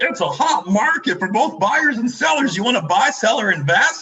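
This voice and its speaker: A man's put-on character voice, extremely high in pitch, with very wide pitch swings and a moderate pace. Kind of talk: casual, salesy. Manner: mocking, exaggerated.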